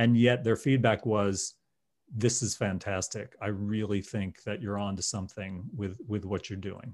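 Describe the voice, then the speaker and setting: On a very clean recording with a silent background, a normal speaking voice keeps fairly even intonation. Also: man, fairly low pitch for a man, moderate pace. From New Jersey. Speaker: insurance company founder. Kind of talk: podcast interview.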